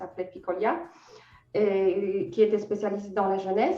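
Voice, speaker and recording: There is audible room echo around a woman whose tone is dark and mellow. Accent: Polish. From Poland. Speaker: freelance editor. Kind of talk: interview. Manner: hesitant, many fillers.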